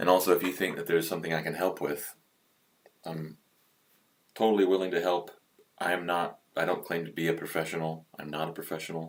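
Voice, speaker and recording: A man with a very deep, low voice speaks at a fairly quick pace. He leaves long, frequent pauses. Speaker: hobby woodcarver. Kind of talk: live-stream carving tutorial. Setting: livestream. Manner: hesitant, many fillers.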